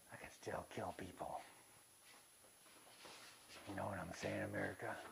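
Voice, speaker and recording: A gruff, raspy, put-on character voice at a moderate pace, with clear background noise. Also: man. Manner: menacing, tough.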